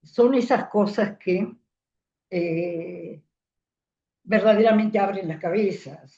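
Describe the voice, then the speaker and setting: The voice has a dark, mellow tone and ordinary pitch variation, with long, frequent pauses at a very slow pace. Audible room echo surrounds it. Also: woman, medium pitch for a woman. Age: 80s+. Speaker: psychoanalyst teaching a seminar. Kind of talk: lecture.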